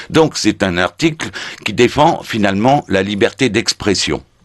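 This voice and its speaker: Very wide swings in pitch mark this man's speech. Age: 70s. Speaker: retired gendarme and website founder. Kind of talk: radio interview. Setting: radio studio. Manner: hesitant with frequent fillers.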